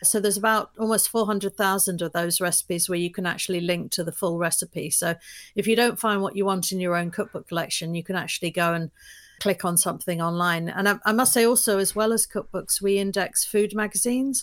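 In a very clean recording with a silent background, a woman talks very fast with a London accent and fairly even intonation. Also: medium pitch for a woman. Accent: London British, kept despite years in US. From London, England. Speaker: business founder. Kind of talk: casual interview conversation.

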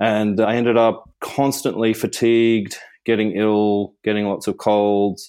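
Speaking fairly slowly in an Australian accent, a man holds a fairly low pitch with monotone, flat intonation. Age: 50s. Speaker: meditation teacher and spiritual mentor. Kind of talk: casual interview.

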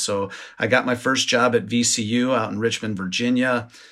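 A man with an Upper Midwest accent speaks at medium pitch in a bright, sharp tone with fairly even intonation. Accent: Upper Midwest American. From southern Minnesota, Rochester. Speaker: craft distiller. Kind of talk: interview.

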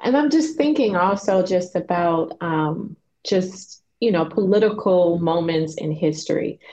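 Her intonation is lively, with an American accent. The woman speaks fairly slowly at a medium pitch. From Chicago. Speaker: podcast host. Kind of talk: interview.

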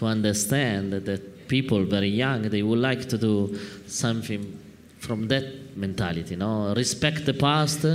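A man speaks in an Italian accent at a moderate pace. His pitch is fairly low, with ordinary variation. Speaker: wine importer moderating a talk. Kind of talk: live talk-tasting conversation. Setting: stage with audience at a wine fair.

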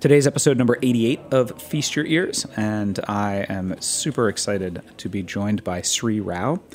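Music in the background under a man's fairly low voice, with lively intonation and an American accent. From New York City area. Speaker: podcast host. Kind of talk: show intro and outro; interview. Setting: studio.

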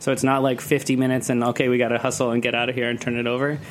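Over noticeable background noise, a man rattles along at a very fast pace in a monotone, flat intonation at a medium pitch. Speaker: cocktail event producer and festival organizer. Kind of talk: casual chat. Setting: studio. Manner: loud.

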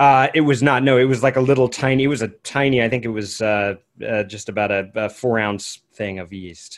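Using an ordinary speaking voice, a man speaks at a fairly quick pace, with medium pitch and ordinary pitch variation. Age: 40s. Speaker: musician (saxophonist). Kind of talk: casual chat.

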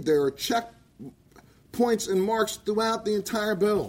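With ordinary pitch variation, the man's voice stays high in pitch. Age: 60s. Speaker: cannabis activist and veteran. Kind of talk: public testimony. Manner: impassioned.

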